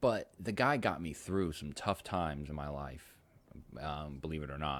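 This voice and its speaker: On a very clean recording with a silent background, a man speaks at a very deep, low pitch with vocal fry and ordinary pitch variation. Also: moderate pace. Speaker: video podcast host. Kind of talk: casual monologue. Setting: outdoors on a sunny day. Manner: halting, many fillers.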